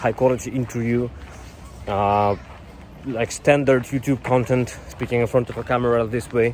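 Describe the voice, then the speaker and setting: Through noticeable background noise, a man with a Russian accent talks at medium pitch and a moderate pace, his intonation fairly even. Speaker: YouTuber, software developer career advisor. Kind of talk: vlog-style talk to camera. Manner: some hesitations and fillers.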